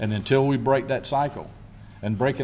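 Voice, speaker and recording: A man with a Lowcountry South Carolina accent has a dark, mellow tone and fairly even intonation. Audible room echo surrounds him. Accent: US Southern (South Carolina Lowcountry). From South Carolina Lowcountry (Beaufort County). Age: 60s. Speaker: county sheriff. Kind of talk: press conference Q&A. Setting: press conference with media and public.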